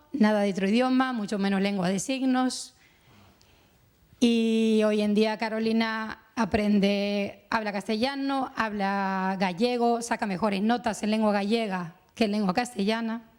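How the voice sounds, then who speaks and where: Speaking at a fairly slow pace, a woman with a Uruguayan accent keeps a fairly high pitch and fairly even intonation. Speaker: mother of a deaf child, panelist. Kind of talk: round-table testimony. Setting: conference panel with audience.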